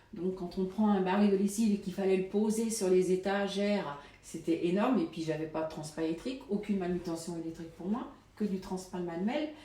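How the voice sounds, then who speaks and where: A woman with a medium pitch speaks at a fairly quick pace, with ordinary pitch variation. Audible room echo and noticeable background noise surround her voice. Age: 50s. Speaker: supermarket worker. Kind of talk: interview testimony. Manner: halting, many hesitations.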